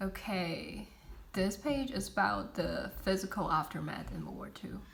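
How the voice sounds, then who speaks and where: Audible room echo hangs on the voice. A woman talks at a fairly slow pace. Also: big swings in loudness. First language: not English. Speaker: student. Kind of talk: class presentation. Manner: halting, many fillers.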